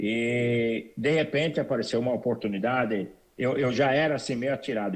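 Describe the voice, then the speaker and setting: A man's medium pitch carries fairly even intonation. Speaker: immigrant entrepreneur. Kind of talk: interview. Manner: repetitive hesitant.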